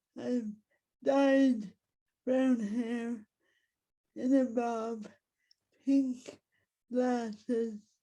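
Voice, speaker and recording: Very slow and marked by long, frequent pauses, a woman talks in a high pitch with a dark, mellow tone and monotone, flat intonation. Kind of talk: prepared talk.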